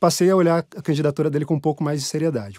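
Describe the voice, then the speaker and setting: Dark and mellow in tone, a man's fairly high voice comes through dry and close with no echo on a very clean recording with a silent background. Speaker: political columnist. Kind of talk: interview.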